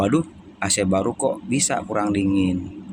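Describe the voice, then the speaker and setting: Noticeable background noise sits behind a man whose pitch is fairly low. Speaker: AC technician. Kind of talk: tutorial. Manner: casual, with fillers.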